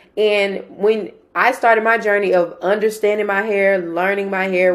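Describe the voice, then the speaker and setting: Speaking in a Southern US accent, a woman uses a medium pitch and monotone, flat intonation. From Mississippi. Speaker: interviewer. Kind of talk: interview.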